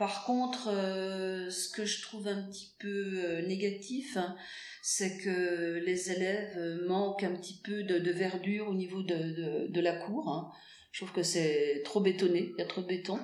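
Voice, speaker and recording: A woman speaks at a very slow pace with a medium pitch and fairly even intonation. Noticeable background noise and audible room echo are present. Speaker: school English teacher. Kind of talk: interview. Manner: hesitant, many fillers.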